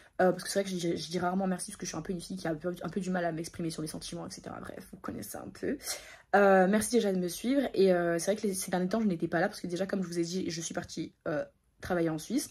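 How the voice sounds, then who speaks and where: A woman speaks at a very fast pace in a somewhat breathy voice. Her pitch is fairly low and shows ordinary variation. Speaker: vlogger. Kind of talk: casual vlog talk to camera.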